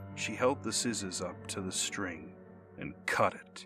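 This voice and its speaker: A man speaks in a fairly low voice at a moderate pace. Music plays in the background. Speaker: voice actor and storyteller. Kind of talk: mythology and urban legend storytelling narration.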